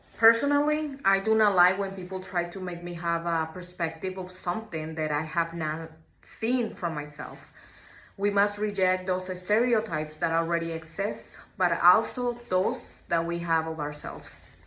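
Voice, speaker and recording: A woman's bright, sharp voice with lively intonation at a moderate pace, in audible room echo. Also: medium pitch for a woman. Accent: Mexican. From Mexico. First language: Spanish. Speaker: student. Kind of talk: class assignment reflection.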